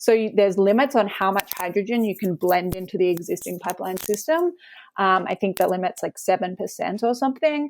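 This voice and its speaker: A woman speaks at a fairly quick pace with a slight Australian accent. Her pitch is medium with ordinary variation, and the recording is very clean with a silent background. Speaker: climate law researcher. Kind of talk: interview. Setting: podcast interview.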